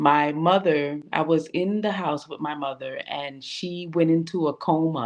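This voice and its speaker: Against a quiet background, a woman with a New York accent speaks at a fairly slow pace in a very deep, low pitch with ordinary pitch variation. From New York, Brooklyn and Queens. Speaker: women's group founder. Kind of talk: interview. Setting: online livestream.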